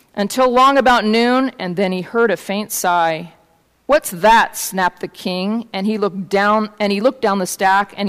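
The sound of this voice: Unforced voice for reading, its pitch varying an ordinary amount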